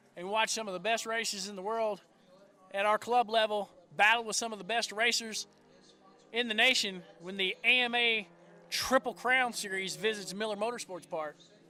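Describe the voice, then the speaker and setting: With a Southern US accent, a man speaks in a raised, projected voice that is high-pitched, bright and sharp, at a moderate pace with fairly even intonation. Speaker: motorsport live-stream commentator. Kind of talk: live commentary. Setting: race track live stream.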